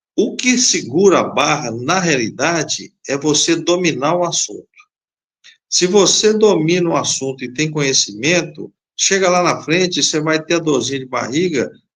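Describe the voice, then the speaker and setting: This man's pace is fairly slow. His high-pitched voice carries lively intonation. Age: 60s. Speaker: safety technician instructor. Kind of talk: live stream interview.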